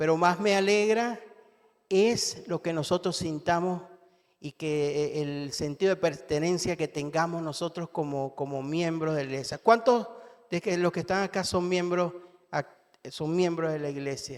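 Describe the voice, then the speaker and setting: A man with a Venezuelan accent talks at a fairly slow pace in a high voice, with ordinary pitch variation. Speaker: lay preacher. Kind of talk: sermon. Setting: church. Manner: halting, many fillers.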